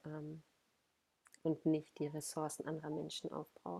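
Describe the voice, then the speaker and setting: A woman speaks with a very deep, low pitch and vocal fry. Her tone is dark and mellow. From Ruhr area, Germany. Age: 30s. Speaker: body awareness coach. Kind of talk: podcast interview.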